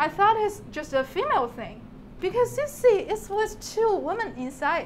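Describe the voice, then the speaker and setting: Speaking with a Chinese accent at a moderate pace, a woman uses an extremely high pitch and very wide pitch swings over noticeable background noise. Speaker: PhD student presenter. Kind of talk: talk to an audience. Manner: halting, with fillers and restarts.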